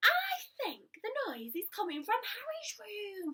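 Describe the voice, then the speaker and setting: A woman's soft-spoken, squeaky put-on character voice at an extremely high pitch, fairly slow in pace, with very wide pitch swings. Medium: read story. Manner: soft, quiet.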